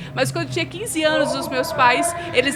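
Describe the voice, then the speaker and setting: Amid crowd noise and audible room echo, a woman projects a raised, high-pitched voice at a moderate pace. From Brazil, Minas Gerais (Belo Horizonte). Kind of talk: interview testimony.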